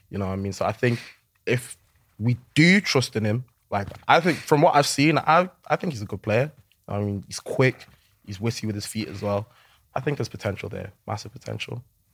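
Speaking with a Liverpool accent, a man leaves long, frequent pauses. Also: medium pitch for a man, lively intonation, fairly quick pace, big swings in loudness. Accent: Scouse. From Liverpool, England. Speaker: social media content creator. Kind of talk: casual chat. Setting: studio.

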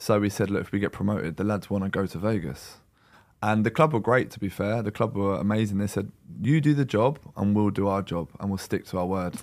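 Recorded very cleanly against a silent background, a man talks at a fairly quick pace with fairly low pitch. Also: ordinary pitch variation. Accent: London. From London. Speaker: professional footballer. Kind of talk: casual chat.

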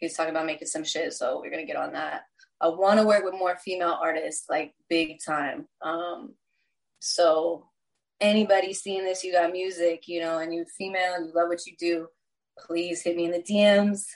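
With an American accent, a woman uses a normal speaking voice at a fairly low pitch, fairly even intonation and a moderate pace. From Texas. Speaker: musician. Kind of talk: casual chat.

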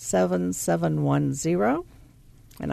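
A woman with a Southern US accent, her sound dry and close with no echo. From US South. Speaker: charity volunteer. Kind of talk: radio interview.

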